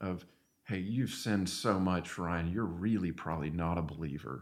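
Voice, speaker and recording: Speaking in a Southern US accent at a moderate pace, a man with a very deep, low pitch shows ordinary pitch variation. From Arkansas. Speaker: church member. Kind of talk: testimony; casual chat. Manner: halting.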